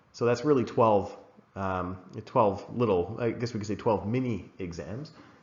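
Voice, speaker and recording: A man speaks in a normal speaking voice at fairly low pitch and a moderate pace, with ordinary pitch variation. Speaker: English exam teacher. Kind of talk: recorded lesson. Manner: casual, many fillers (uh, um).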